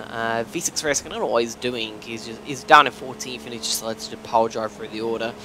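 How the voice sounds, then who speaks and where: Noticeable background noise behind a fairly quick male voice, medium in pitch. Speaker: sim racing video creator. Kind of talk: gameplay commentary. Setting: hotel room. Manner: halting. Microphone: poor quality.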